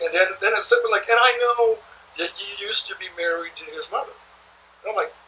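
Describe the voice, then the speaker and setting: A man in a raised, projected voice of extremely high pitch speaks at a fairly quick pace, animated in tone and with very wide pitch swings. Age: 60s. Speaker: blues guitarist and interviewer. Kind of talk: casual chat. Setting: studio.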